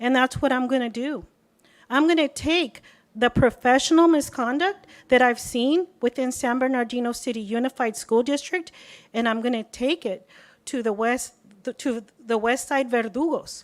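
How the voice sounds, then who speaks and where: Speaking with an American accent, a woman uses a high pitch. Her pace is moderate and her pitch variation ordinary. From Southern California. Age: 50s. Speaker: public commenter. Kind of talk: public comment. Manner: animated.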